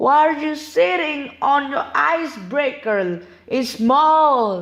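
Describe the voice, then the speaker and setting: Here is a put-on character voice with a high pitch. The pace is very slow. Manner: mocking.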